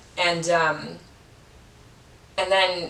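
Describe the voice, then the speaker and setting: Over noticeable background noise, a woman with an American accent speaks at a fairly low pitch in monotone, flat intonation. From Chicago, West Side. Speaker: podcaster. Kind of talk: casual interview chat. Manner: hesitant, many fillers.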